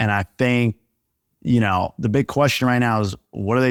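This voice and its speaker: A man with a New York accent speaks at a medium pitch and moderate pace with ordinary pitch variation, on a very clean recording with a silent background and a dry, close sound with no echo. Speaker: NBA reporter. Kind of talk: casual chat.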